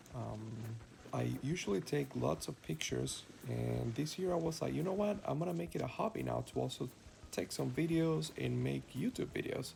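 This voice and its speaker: A man speaks with a Cuban accent. His pace is moderate. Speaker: travel vlogger. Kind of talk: travel vlog narration. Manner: casual, with fillers and hesitations.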